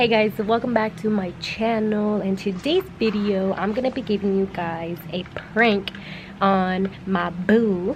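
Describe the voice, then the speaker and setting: Through noticeable background noise, a woman with an American accent speaks at a fairly slow pace, medium in pitch, with fairly even intonation. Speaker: vlogger. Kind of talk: casual vlog. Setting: outdoors. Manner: loud.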